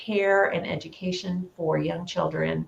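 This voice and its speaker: With an American accent, the speaker talks at a fairly slow pace. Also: woman. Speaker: early childhood e-learning specialist. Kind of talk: conference presentation. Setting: home office, online presentation.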